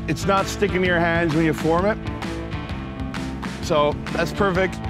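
A man's voice comes through dry, with no echo. Clear music plays in the background. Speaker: chef host. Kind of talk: tutorial. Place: beach. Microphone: lapel.

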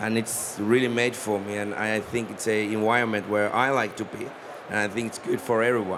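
The delivery is monotone and flat at a moderate pace. Noticeable background noise sits behind it. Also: man. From Finland. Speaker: company founder and CEO. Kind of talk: panel discussion. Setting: stage with audience.

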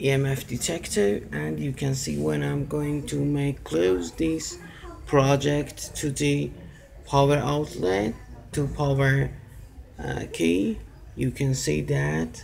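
Very slowly, a man talks in a fairly low pitch. Light background noise sits behind him. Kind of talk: tutorial. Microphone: phone near.

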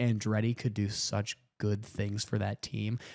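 A man speaks at a moderate pace. Around him the background stays quiet. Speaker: podcast co-host. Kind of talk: casual chat. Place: home room. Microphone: studio mic.

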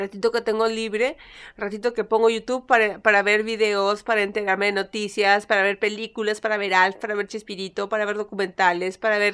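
A woman speaks at a fairly quick pace in a monotone, flat intonation against a quiet background. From Peru. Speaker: YouTuber; vlogger. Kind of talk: casual vlog monologue. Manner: halting, stumbles over words. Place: home room. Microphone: phone near.

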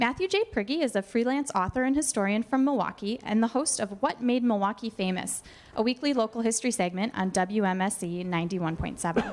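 A woman with a fairly high pitch speaks at a moderate pace, using lively intonation and hardly any pauses. She has an ordinary speaking voice. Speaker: museum event host introducing speaker. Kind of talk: formal introduction. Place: hall. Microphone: handheld.

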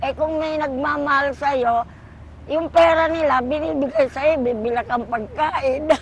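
A woman with a high pitch and ordinary pitch variation talks at a moderate pace over noticeable background noise. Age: 60s. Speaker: street vendor. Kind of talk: elderly street vendor's warm interview testimony about her life and wishes. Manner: rambling, homely, with filler words and asides; cheerful, laughing.

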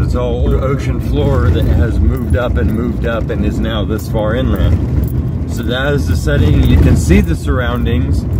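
Loud background noise sits under a fairly slow pace. The sound is dry with no echo. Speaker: rockhounding vlogger. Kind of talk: casual vlog narration. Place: car. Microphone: phone near.

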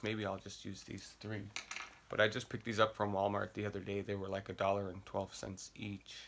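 A man speaks with a fairly low pitch. Light background noise can be heard. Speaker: makeup vlogger. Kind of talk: casual vlog tutorial. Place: home room. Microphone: phone near.

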